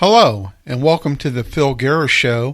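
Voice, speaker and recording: With a slight Southern US accent, a man talks at a moderate pace and medium pitch with ordinary pitch variation. The recording is very clean, with a silent background. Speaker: radio talk show host. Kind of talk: radio commentary monologue.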